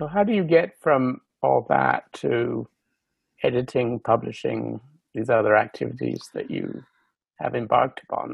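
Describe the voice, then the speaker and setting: A man's moderate pace broken by long, frequent pauses. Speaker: podcast co-host. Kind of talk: interview conversation.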